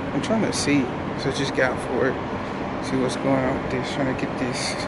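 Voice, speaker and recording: Loud background noise is present throughout. Over it, a man speaks at a moderate speed. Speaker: vlogger. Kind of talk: casual vlog chat. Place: street. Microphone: phone near.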